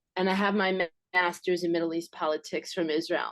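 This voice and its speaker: The speaker is a woman. She has a New York accent. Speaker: audience member, former diplomat. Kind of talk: audience question.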